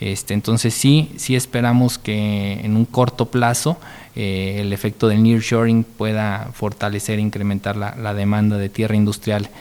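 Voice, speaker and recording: Using an unremarkable speaking voice, a man talks at a fairly slow pace with a fairly low pitch and fairly even intonation. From Mexico, San Luis Potosí. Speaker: industrial park executive. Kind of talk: interview.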